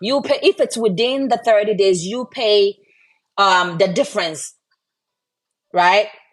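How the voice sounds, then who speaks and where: This woman's voice sits at medium pitch. It has ordinary pitch variation. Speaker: online business promoter, military veteran. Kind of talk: live stream sales pitch. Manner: loud; casual, hesitant with fillers.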